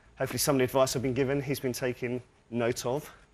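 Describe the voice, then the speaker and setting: A man with a medium pitch speaks with a British accent. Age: 40s. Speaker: game show contestant. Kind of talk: game show chat. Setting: TV studio with audience.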